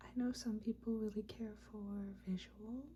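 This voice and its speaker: This soft-spoken voice moves at a very slow pace. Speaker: ASMR creator. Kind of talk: casual ramble to camera, ASMR video.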